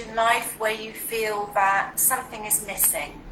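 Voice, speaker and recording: A woman speaks at a fairly slow pace in a British accent, with a medium pitch and fairly even intonation. Noticeable background noise and audible room echo are present. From UK. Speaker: well-being and relationship coach. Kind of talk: interview on a live video stream.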